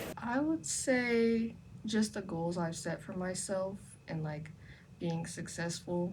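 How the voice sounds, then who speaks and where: A woman's somewhat breathy, medium-pitched voice with lively intonation at a very slow pace. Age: young. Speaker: university student. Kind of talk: interview.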